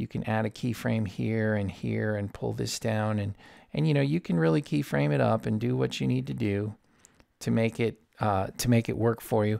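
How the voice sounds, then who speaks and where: In a dark, mellow tone, a man with a fairly low voice speaks at a moderate pace, his pitch swinging very widely on a very clean recording with a silent background. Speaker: audio engineer. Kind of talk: tutorial. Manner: casual, informal.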